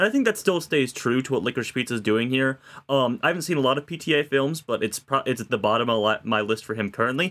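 This is a normal speaking voice. It has ordinary pitch variation. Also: man. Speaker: podcast co-host. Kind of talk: casual film discussion.

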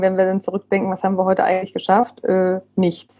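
Her words come out very fast. The woman's pitch sits in the medium range. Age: 40s. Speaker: parenting coach. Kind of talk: casual interview. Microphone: bumpy sound from bad internet.

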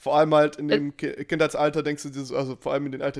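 A man speaks at a very fast pace. The recording is very clean, with a silent background. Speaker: podcast co-host. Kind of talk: casual chat. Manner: swallows his greeting words.

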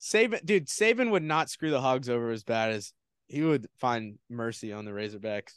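The sound is dry and close with no echo, against a quiet background. A man talks at a moderate pace and medium pitch, with ordinary pitch variation. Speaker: sports podcast co-host. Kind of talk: pep talk, rallying and hyped up. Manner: animated, enthusiastic.

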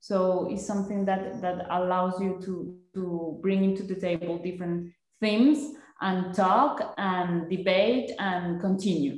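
Speaking fairly slowly, a woman talks with a Spanish accent. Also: medium pitch for a woman, ordinary pitch variation. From Colombia. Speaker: design master's student, innovation consultant. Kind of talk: casual interview. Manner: halting, repeats words.

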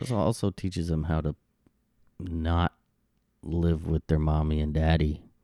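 With an American accent, a man speaks fairly slowly in a very deep, low pitch and a dark, mellow tone, taking long, frequent pauses, the sound dry and close with no echo. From Arizona. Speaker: podcast co-host, father. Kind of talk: casual chat.

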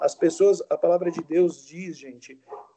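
A man's dark, mellow voice stays in a flat monotone. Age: 40s. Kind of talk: casual chat. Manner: halting.

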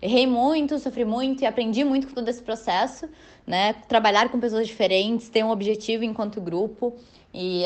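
Big swings in loudness mark an ordinary speaking voice. Its pitch variation is ordinary. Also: woman. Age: 20s. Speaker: business student and federation president. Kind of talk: podcast interview.

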